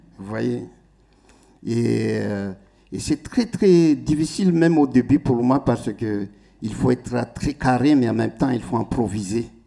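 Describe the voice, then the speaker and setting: Very slowly, a man speaks with a Malagasy accent. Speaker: musician. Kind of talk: stage talk to audience. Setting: stage with audience. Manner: halting.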